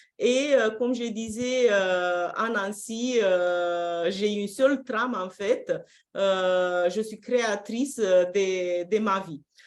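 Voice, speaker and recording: At a very slow pace, a woman speaks with a Romanian accent, medium in pitch with ordinary pitch variation. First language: Romanian (speaking French). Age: 50s. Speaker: personal development coach. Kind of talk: live-streamed interview. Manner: hesitant, frequent fillers.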